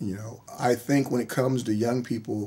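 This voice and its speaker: At a moderate pace, a man speaks in an ordinary speaking voice with an American accent, a medium pitch and fairly even intonation. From US, military bases around the country. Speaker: college football head coach. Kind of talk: radio interview. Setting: studio.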